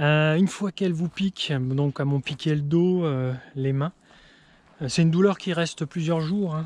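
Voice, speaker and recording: The sound is dry and close with no echo. A man speaks at a fairly slow pace and a fairly high pitch, with ordinary pitch variation. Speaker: farmer. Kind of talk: casual vlog narration. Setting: outdoors. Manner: speaking quietly.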